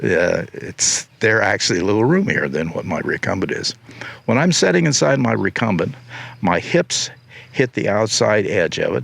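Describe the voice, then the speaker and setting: A man speaks with a Midwestern American accent at a moderate pace. Noticeable background noise is present. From Ohio. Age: 80s+. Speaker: recumbent bike designer and racer. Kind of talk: interview answer. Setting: outdoors.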